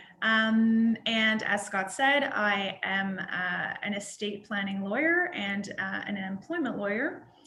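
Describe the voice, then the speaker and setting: With a Canadian accent, a woman speaks in a fairly high voice with ordinary pitch variation, and the room echo is audible. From Northern Ontario, Canada (North Bay). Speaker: estate planning lawyer. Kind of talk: podcast interview.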